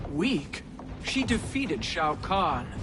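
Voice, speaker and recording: A put-on character voice at a middle pitch over loud background noise. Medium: video game. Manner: firm, grave.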